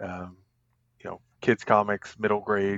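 In an American accent, a man with a fairly low pitch talks at a fairly slow pace in a monotone, flat intonation. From Virginia. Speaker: cartoonist. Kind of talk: casual chat.

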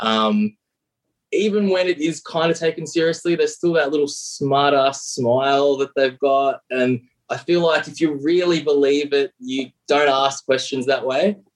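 A man's fairly high voice shows ordinary pitch variation and holds a moderate pace. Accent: Australian. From Australia. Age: 30s. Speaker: caller.

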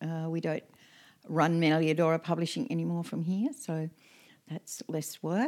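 With an Australian accent, a woman with a fairly low pitch and ordinary pitch variation speaks at a moderate pace, leaving long, frequent pauses, on a very clean recording with a silent background. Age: 70s. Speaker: permaculture elder and homesteader. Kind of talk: casual chat. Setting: tea house, handheld mics. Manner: hesitant with fillers.

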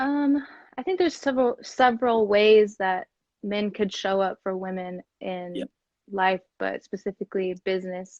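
A woman with an American accent speaks in a plain, everyday voice at medium pitch, with ordinary pitch variation and a moderate pace. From US Midwest, Kansas City. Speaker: podcast host and corporate professional. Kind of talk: casual interview. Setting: social media live video.

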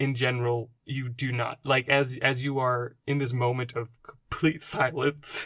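This is plain reading aloud. The text is read plainly.

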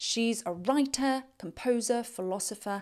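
A woman speaks at a fairly slow pace with lively intonation. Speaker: health and wellness podcast host. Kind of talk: solo podcast monologue. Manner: stumbling over words at the end.

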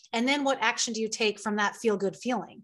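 A woman speaks in a fairly high pitch with an unremarkable speaking voice. The background is quiet. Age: 30s. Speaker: spiritual life coach and singer-songwriter. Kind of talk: interview conversation.

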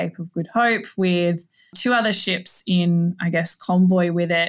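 Speaking fairly slowly with an Australian accent, a woman uses a bright, sharp tone at a fairly low pitch. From Australia, Northern Territory. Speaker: maritime archaeologist. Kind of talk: interview. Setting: video call.

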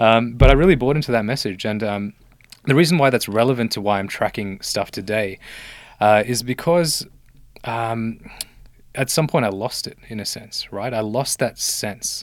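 Recorded very cleanly against a silent background, a man with an Australian accent talks at a moderate pace and medium pitch, with ordinary pitch variation. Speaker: medical doctor turned healthcare investor. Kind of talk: casual interview.

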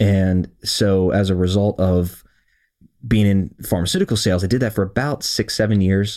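The tone is dark and mellow, with an American accent, fairly even intonation and very even loudness at a moderate pace. It is a very clean recording with a silent background. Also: man, fairly low pitch for a man. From US Mid-Atlantic (Howard County, Maryland, near Baltimore). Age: 30s. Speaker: realtor and real estate investor, podcast host. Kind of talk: casual monologue to listeners.

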